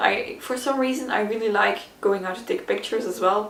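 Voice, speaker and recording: A woman speaks with ordinary pitch variation. Audible room echo and noticeable background noise surround her voice. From Flanders, Belgium. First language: Dutch (Flemish). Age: 20s. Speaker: YouTuber. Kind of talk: casual Q&A tag video. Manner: casual, hesitant with fillers.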